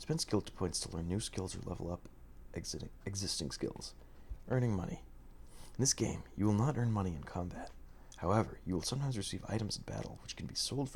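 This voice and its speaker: This soft-spoken man talks at a fairly quick clip, his fairly low voice showing vocal fry. His pitch swings very widely. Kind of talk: ASMR manual reading.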